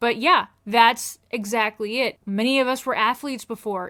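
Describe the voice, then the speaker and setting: A woman with a Midwestern US accent speaks in a bright, sharp tone at a fairly high pitch. The recording is very clean, with a silent background. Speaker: chronic illness video creator. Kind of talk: casual explainer monologue.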